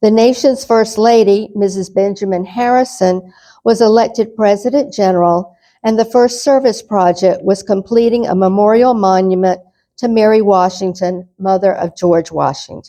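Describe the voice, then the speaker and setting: A woman with a Southern accent speaks at a moderate pace. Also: medium pitch for a woman, ordinary pitch variation. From North Carolina. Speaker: lecturer. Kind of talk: lecture.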